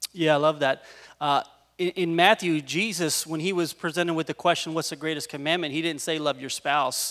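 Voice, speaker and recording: A man with an ordinary speaking voice, fairly high in pitch, at a fairly quick pace with fairly even intonation. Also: quiet background. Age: 40s. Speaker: pastor. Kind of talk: sermon. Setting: church. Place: stage. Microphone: handheld.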